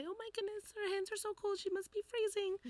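In a put-on character voice, a female-sounding speaker goes fairly quickly at an extremely high pitch. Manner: concerned.

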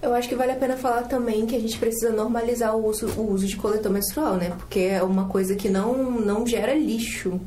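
Speaking at a fairly quick pace with hardly any pauses, a woman keeps her loudness very even and her intonation fairly even at a fairly high pitch, with noticeable background noise and audible room echo. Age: 20s. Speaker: student podcast co-host. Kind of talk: casual chat.

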